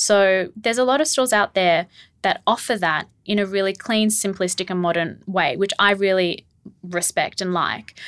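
Using an Australian accent, a woman talks at a moderate pace with ordinary pitch variation. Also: medium pitch for a woman, very clean recording, silent background. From Australia, Melbourne. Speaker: rug business co-owner, former lawyer. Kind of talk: casual interview.

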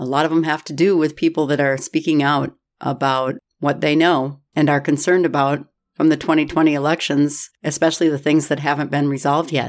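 With an American accent, a woman of very deep, low pitch speaks at a fairly quick pace in a monotone, flat intonation. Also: very clean recording, silent background. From Minnesota. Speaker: political podcast host. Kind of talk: solo commentary podcast. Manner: sarcastic.

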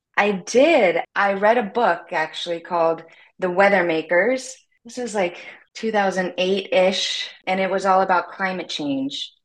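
With an American accent, a woman speaks fairly slowly in a normal speaking voice, her medium pitch showing ordinary variation. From US South, Louisiana. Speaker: documentary filmmaker. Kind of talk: interview.

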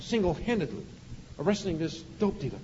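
Very fast speech from a man, with audible room echo. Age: 50s. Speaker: police officer. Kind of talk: sermon. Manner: animated.

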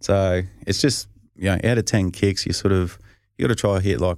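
A man's very deep, low pitch at a fairly quick pace, on a very clean recording with a silent background. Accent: strong Australian. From Australia, rural north-east Victoria. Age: 30s. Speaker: professional football punter. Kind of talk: casual interview.

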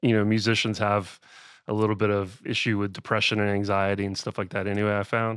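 A man speaks very fast in a fairly low voice, with fairly even intonation. The recording is very clean, the background silent. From US South, Georgia (Austell, near Atlanta). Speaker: music producer and songwriter. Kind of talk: interview conversation.

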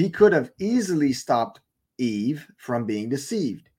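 A man with a French accent speaks at a moderate pace, his fairly high pitch moving in very wide swings. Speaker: online preacher. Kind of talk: sermon-style Bible teaching. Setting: live stream broadcast.

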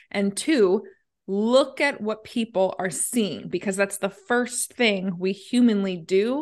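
Against a quiet background, a woman uses an ordinary speaking voice with a medium pitch and ordinary pitch variation. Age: 30s. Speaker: branding agency founder. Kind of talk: interview.

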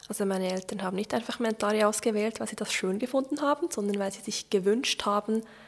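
At a fairly quick pace, a woman with a fairly high pitch and ordinary pitch variation talks in an unremarkable speaking voice. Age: 30s. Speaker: church reform advocate. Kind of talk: interview. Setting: home kitchen.

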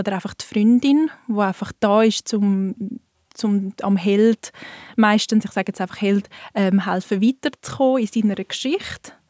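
A woman talks at a moderate pace with a medium pitch and ordinary pitch variation. It is an ordinary speaking voice. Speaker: bookseller. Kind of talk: casual chat.

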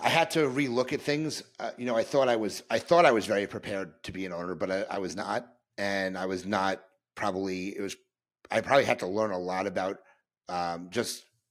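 A man with an ordinary speaking voice, on a very clean recording against a silent background. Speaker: dentist and podcaster. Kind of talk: casual interview chat.

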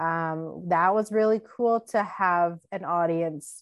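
A woman with a Canadian accent speaks in an unremarkable speaking voice with fairly even intonation and a fairly low pitch. The background is quiet. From Canada, Winnipeg. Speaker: podcast co-host. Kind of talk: casual chat.

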